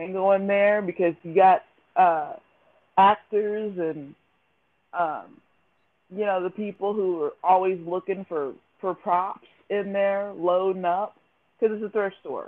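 A woman with an American accent uses an ordinary speaking voice at a medium pitch. She keeps a moderate pace and fairly even intonation. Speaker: podcast host. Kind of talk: casual interview chat.

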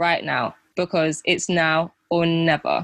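Over a quiet background, a woman talks with a British accent in a dry, close sound with no echo. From UK. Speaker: fashion podcast host. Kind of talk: scripted narration; casual chat.

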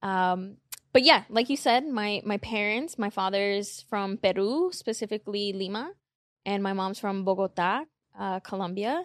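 In a normal speaking voice, a woman with an American accent speaks at medium pitch and a fairly slow pace. Her pitch variation is ordinary, the background is quiet, and the sound is dry and close with no echo. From Queens, New York. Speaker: content creator and morning show host. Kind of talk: casual interview.

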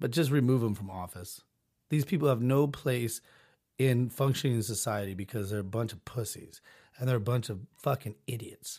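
A man talks at medium pitch with lively intonation. His voice is somewhat breathy. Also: very clean recording, silent background. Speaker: podcast host. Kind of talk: casual, crude. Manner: steady, never falters; blunt, profane ranting.

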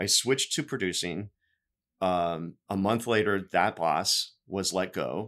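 Ordinary pitch variation marks a man's speech at a very slow pace. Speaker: TV news producer. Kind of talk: casual chat. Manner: subdued.

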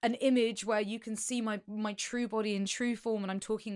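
A woman with an unremarkable speaking voice, fairly high in pitch with ordinary variation, at a fairly quick pace. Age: 30s. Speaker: podcast co-host. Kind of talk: casual chat.

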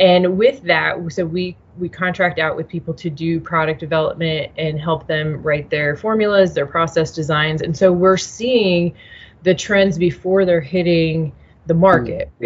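A woman with an American accent speaks fairly slowly at a fairly low pitch, somewhat breathy, with ordinary pitch variation. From US Midwest, Nebraska. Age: young. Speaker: food scientist and business founder. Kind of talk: interview.

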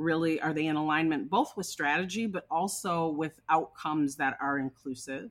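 This speaker talks with an American accent at a moderate pace. The pitch varies in an ordinary way. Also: woman. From Minnesota. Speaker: diversity and inclusion consultant. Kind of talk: interview.

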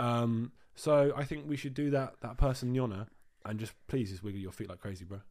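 Speaking with a British accent, a man talks at a fairly quick pace in a medium pitch with ordinary pitch variation. His loudness swings widely in a very clean recording with a silent background. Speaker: podcast co-host. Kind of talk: casual chat. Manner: animated.

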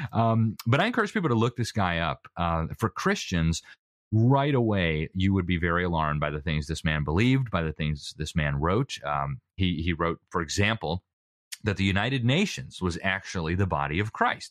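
A man with a very deep, low pitch and lively intonation is heard in a dry, close sound with no echo and a quiet background. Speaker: interviewee on education. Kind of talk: interview. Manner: fast.

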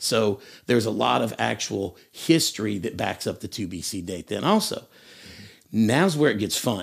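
Lively intonation and vocal fry in an East Tennessee accent at a moderate pace, on a very clean recording with a silent background. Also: man, fairly low pitch for a man. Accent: East Tennessee Southern. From US South, Tennessee. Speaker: schoolteacher. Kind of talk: bible study discussion.

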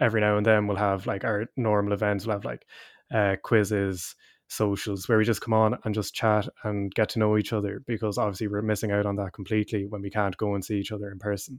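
A man speaks in an Irish Midlands accent at a fairly low pitch and a fairly quick pace, with monotone, flat intonation. The sound is dry and close with no echo, on a very clean recording with a silent background. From Ireland (midlands). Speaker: university student and choir singer. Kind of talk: casual interview chat.

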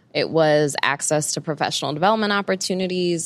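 The speaker is a woman. She has a New York accent. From Brooklyn, New York. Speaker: CEO and career coach. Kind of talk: interview.

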